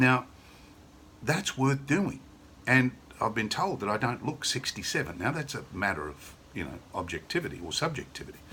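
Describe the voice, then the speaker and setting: A man with an Australian accent, medium-pitched, bright and sharp in tone with vocal fry, very wide pitch swings and a moderate pace. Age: 60s. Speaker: sales representative. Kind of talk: sales pitch. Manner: casual, conversational; enthusiastic.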